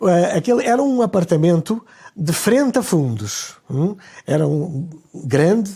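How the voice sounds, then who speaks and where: With a European Portuguese accent, a man speaks at a fairly slow pace in a dark, mellow tone, high pitch, very wide pitch swings and very even loudness. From Portugal, Lisbon. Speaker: conductor. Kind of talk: interview. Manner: halting.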